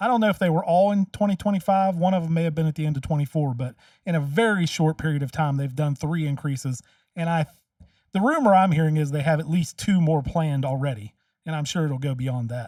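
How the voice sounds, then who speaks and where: At a fairly quick pace, a man with a fairly high voice and a dark, mellow tone speaks with ordinary pitch variation. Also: dry, close sound with no echo. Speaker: commentary video host and local candidate. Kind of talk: reaction commentary. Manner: loud.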